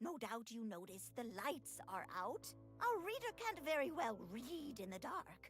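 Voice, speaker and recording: A put-on character voice over faint background music. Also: woman, fairly high pitch for a woman, moderate pace. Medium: video game. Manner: prim, curt.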